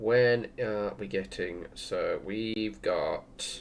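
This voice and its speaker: This is a man speaking. He has an English accent. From England. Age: 30s. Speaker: gaming streamer. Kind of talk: casual chat. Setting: livestream at home. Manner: fast.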